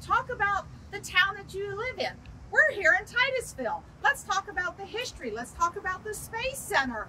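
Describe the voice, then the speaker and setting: At a moderate pace, a woman with an extremely high pitch projects a raised voice with lively intonation and big swings in loudness, over light background noise. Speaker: real estate agent. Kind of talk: casual training video. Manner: animated. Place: street. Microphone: lapel.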